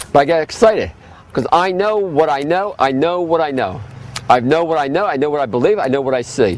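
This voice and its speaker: A man talks at a fairly quick pace with a fairly high pitch and lively intonation. Noticeable background noise runs underneath. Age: 60s. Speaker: health food store owner. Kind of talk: lecture. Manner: fast.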